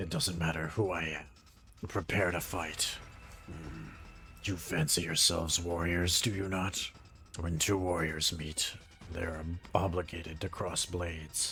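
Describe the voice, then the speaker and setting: A man uses a put-on character voice with a very deep, low pitch and monotone, flat intonation. He talks at a fairly slow pace over clear background noise. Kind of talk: archaic, formal. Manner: stern, challenging.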